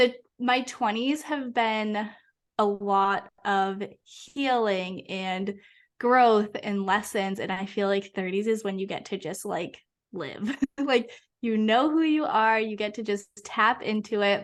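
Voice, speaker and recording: Over a quiet background, a woman with an American accent speaks very slowly at a fairly high pitch with ordinary variation. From Massachusetts. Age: 20s. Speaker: hypnotherapist. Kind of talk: podcast interview. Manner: casual, lots of fillers.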